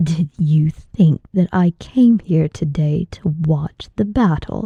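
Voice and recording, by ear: Using a put-on character voice, a woman speaks slowly at a low pitch with a dark, mellow tone, a slightly husky edge, vocal fry and ordinary pitch variation, in a dry, close sound with no echo.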